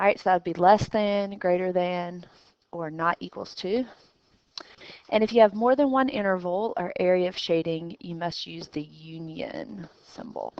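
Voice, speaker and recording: A woman with an ordinary speaking voice, ordinary pitch variation, big swings in loudness and a moderate pace. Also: medium pitch for a woman. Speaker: math teacher. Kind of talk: recorded lesson.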